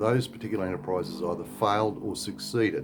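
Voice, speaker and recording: With an Australian accent, a man talks at a fairly quick pace with ordinary pitch variation. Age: 60s. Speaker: expat vlogger. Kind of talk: casual vlog advice talk. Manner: halting, many fillers.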